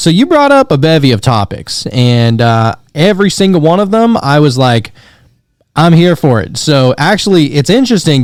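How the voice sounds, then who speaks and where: The speaker is a man with a plain, everyday voice. He talks at a moderate pace with lively intonation. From Pennsylvania and Louisiana, US. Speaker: podcast host. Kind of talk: casual chat.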